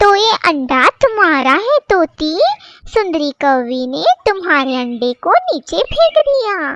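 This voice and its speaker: This female-sounding voice is a cartoonish character voice at an extremely high pitch. It moves at a fairly slow pace with very wide pitch swings. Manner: emotional, vocal.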